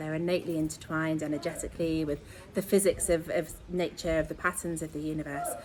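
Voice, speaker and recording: A woman with an English accent talks at a very fast pace in a fairly low voice. Her tone is enthusiastic. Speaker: astrologer and sound healer. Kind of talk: astrology talk to online audience.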